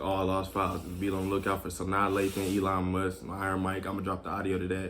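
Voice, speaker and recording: Very deep and low in pitch, a man rattles along at a very fast pace in a monotone, flat intonation. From Texas, Killeen. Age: 20s. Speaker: rapper. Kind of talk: interview.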